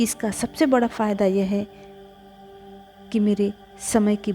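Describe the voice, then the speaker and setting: With music in the background, a woman speaks with fairly even intonation. She leaves long, frequent pauses. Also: big swings in loudness. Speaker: reiki and meditation guide. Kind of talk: affirmation reading.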